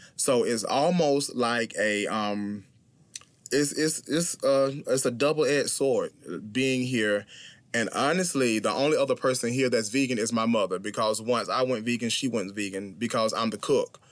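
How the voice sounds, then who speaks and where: A man with a Southern US accent, medium pitch, ordinary pitch variation, and a moderate pace. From US South, small-town South Carolina. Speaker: vegan bodybuilder and motivational speaker. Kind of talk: interview.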